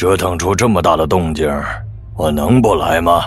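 In a put-on character voice, a man speaks raspy and at a very deep, low pitch, at a moderate pace with ordinary pitch variation and very even loudness, with clear music in the background. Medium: audio drama. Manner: teasing, relaxed.

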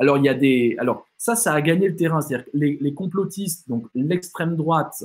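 At a moderate pace, a man speaks with lively intonation and a fairly high pitch. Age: 40s. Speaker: philosopher and writer giving a talk; speaker. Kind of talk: online lecture with Q&A. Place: home room.

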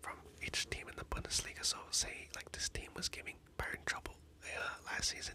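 With noticeable background noise behind it, a whispering voice moves at a moderate pace. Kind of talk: ASMR whisper video. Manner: whispered, soft-spoken.

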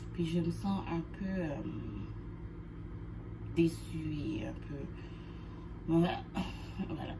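Noticeable background noise behind a woman's very slow speech. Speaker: vlogger. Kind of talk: casual vlog chat. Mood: anxious, sad, subdued. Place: home room. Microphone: phone near.

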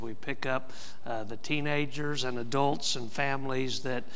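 A man's bright, sharp tone with fairly even intonation. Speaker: pastor. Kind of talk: church announcements. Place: church.

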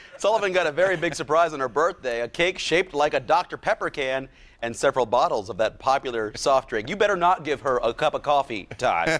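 The pace is fairly quick. The intonation is lively. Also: man. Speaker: news anchor. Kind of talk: TV news read. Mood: light, amused. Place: studio. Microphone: lapel.

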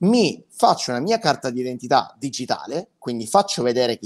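The background stays quiet. Against it, a man's voice swings very widely in pitch. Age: 20s. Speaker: web marketing consultant, former musical performer; guest. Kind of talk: interview, pitch. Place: home room.

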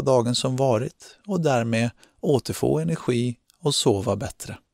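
With an unremarkable speaking voice, a man talks at medium pitch with lively intonation, recorded very cleanly against a silent background with a dry, close sound and no echo. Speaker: meditation guide. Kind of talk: guided meditation, calm instructions addressed to the listener. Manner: slow, soothing, with long pauses between instructions; gentle, calm and encouraging.

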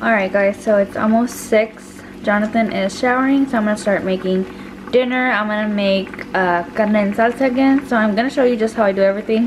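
A woman speaks at a fairly quick pace with fairly even intonation and very even loudness. Noticeable background noise can be heard. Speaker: home cook vlogger. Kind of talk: casual cooking tutorial vlog. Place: kitchen. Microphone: phone near.

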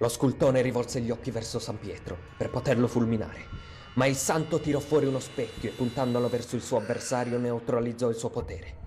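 Over music in the background, a man talks at a fairly quick pace. His pitch varies in an ordinary way. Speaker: narrator. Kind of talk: legend narration. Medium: read story.

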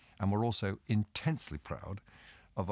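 In a British accent, a man is heard against a quiet background, the sound dry with no echo. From Britain. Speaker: senior government official. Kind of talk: prepared speech. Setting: recorded video message. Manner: formal.

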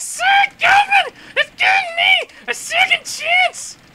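A put-on character voice at extremely high pitch, with very wide pitch swings and a fairly slow pace, over clear background noise. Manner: theatrical, shouting.

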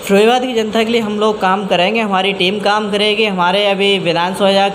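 A man's high, monotone voice with flat intonation at a fairly slow pace, over light background noise. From Firozabad district, Uttar Pradesh, India; Uttar Pradesh, India. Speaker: local party official. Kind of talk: interview; interview answer. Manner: halting. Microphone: handheld.

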